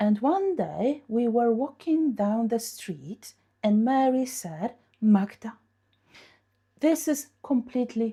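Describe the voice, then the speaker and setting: A woman with a Polish accent speaks very slowly in a fairly high, somewhat breathy voice with a dark, mellow tone and very wide pitch swings. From Poland. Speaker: English teacher. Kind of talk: lesson with storytelling. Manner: animated.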